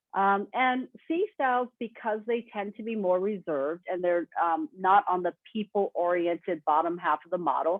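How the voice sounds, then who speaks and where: A woman's plain, everyday voice at a medium pitch, with lively intonation and a moderate pace. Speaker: webinar presenter. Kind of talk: webinar presentation.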